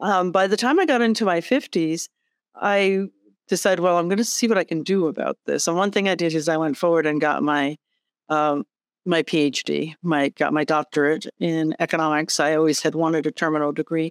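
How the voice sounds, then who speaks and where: On a very clean recording with a silent background and a dry, close sound with no echo, a woman with a normal speaking voice talks at a fairly low pitch and a fairly quick pace, with very even loudness and ordinary pitch variation. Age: 60s. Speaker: executive director and pilot. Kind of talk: interview conversation.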